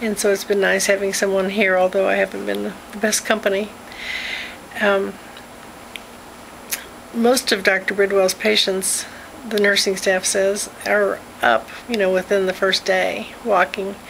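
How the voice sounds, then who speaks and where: Over light background noise, a woman talks with monotone, flat intonation. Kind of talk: casual vlog chat. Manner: weak, slow, drowsy post-surgery voice. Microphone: phone near.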